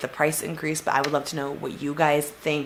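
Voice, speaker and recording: Against noticeable background noise, a woman speaks with a very deep, low pitch. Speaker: beauty vlogger. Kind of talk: casual unboxing review.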